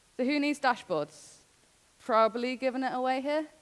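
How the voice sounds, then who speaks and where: Against noticeable background noise, a woman's voice comes through at a high pitch. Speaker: conference speaker. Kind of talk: conference talk. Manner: fast.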